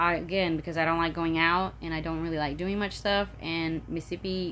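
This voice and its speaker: This woman has a Southern US accent. Her voice sits fairly low. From Florida, Polk County. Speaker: vlogger. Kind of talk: casual vlog monologue. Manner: animated, chatty; halting, many fillers.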